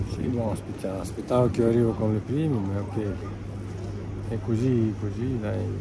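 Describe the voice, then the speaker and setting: Noticeable background noise runs under a man speaking at a moderate pace with long, frequent pauses, the sound dry with no echo. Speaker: cycling team manager. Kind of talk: interview answer. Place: open country.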